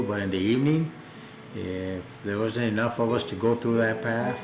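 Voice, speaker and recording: The speaker has a New Mexico accent, with music in the background. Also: man. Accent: New Mexican English. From New Mexico, US. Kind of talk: oral history interview. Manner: reflective, conversational with hesitations.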